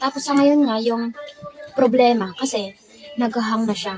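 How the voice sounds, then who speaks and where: Noticeable background noise sits behind a woman talking at a moderate pace. Her pitch is fairly high, with ordinary pitch variation. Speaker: vlogger. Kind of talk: casual vlog talk while eating. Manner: occasional stumbles on pronunciation.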